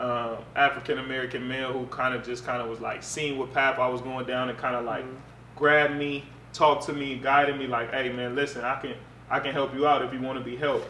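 A man speaks in a flat monotone at a medium pitch and a very fast pace. The room echoes audibly over light background noise. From Pasadena, Los Angeles area; California. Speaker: former college football player; interview guest. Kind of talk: casual interview. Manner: relaxed, conversational. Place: home room.

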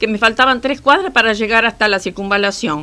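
Lively in intonation, a woman speaks with a bright, sharp tone. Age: 70s. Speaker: victim of a street robbery. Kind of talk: interview answer. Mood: shaken, recounting an assault. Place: studio.

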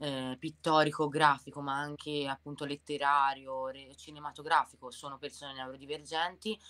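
A woman with a very deep, low pitch and a bright, sharp tone speaks in a monotone, flat intonation with big swings in loudness. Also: moderate pace. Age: 30s. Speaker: tattoo artist and bar manager; interview guest. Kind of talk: testimony. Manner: halting. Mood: calm, reflective personal story. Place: home room. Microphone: video call.

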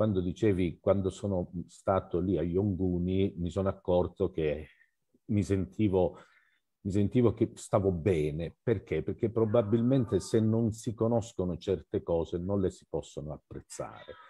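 A somewhat breathy man's voice with a very deep, low pitch. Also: ordinary pitch variation, fairly slow pace, quiet background. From Calabria, southern Italy. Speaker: photo magazine organizer. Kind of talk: casual discussion. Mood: warm, appreciative. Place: home room. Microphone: headset.

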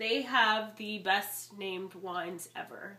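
There is noticeable background noise behind the speaker. She is a woman whose intonation stays fairly even. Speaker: wine vlogger. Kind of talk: casual product review vlog. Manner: chatty, frequent um fillers.

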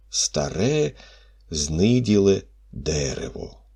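Here a natural reading voice moves with lively intonation.

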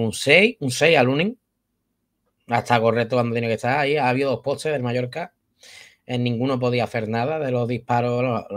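Speaking at a very fast pace, a man has a Spanish accent and a medium pitch. The background is quiet. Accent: Spanish from Spain. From Spain. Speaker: football youtuber. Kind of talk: post-match football talk. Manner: animated. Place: home room. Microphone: webcam.

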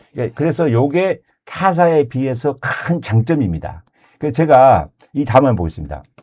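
At a fairly slow pace, a man talks with a dark, mellow tone and lively intonation. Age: 60s. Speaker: insurance agent. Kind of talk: casual chat.

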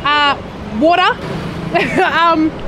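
Over noticeable background noise, a woman talks with an Australian accent. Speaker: traveller vlogger. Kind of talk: casual travel vlog talk. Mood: hesitant, slightly awkward. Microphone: phone near.

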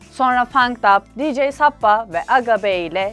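A woman's playful tone and lively intonation, with music in the background. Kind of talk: humorous biography narration. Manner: casual, playful.

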